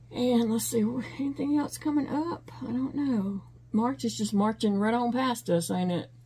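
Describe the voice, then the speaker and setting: Speaking at a moderate pace, a woman has a fairly high pitch, lively intonation and a dark, mellow tone that is somewhat breathy. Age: 50s. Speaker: crochet YouTuber. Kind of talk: casual chat. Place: home room. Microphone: phone near.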